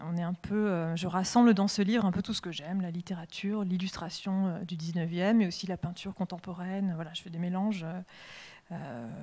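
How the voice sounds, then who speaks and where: Her voice is somewhat breathy, with a dark, mellow tone and fairly even intonation. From western France, Deux-Sèvres countryside. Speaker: comics artist and illustrator. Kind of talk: public interview at a literary festival. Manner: halting, many hesitations.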